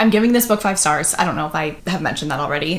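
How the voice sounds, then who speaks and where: With noticeable background noise, a woman talks at a medium pitch and lively intonation. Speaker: booktuber. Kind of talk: casual reading vlog. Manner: animated.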